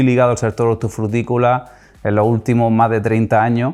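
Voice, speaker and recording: Over music in the background, a man talks with an Andalusian accent at a medium pitch. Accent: Almerian Andalusian. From Almería, Spain. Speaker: podcast host. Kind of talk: interview podcast.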